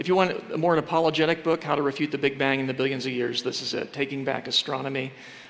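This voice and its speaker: Over noticeable background noise, a man with a fairly high pitch talks at a very fast pace with fairly even intonation and hardly any pauses. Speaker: creationist speaker. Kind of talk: sermon. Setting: church. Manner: fast talker.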